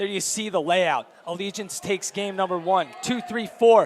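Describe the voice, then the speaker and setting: Noticeable background noise sits under a man's moderate pace and ordinary pitch variation. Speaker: esports caster. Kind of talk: live commentary. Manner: animated.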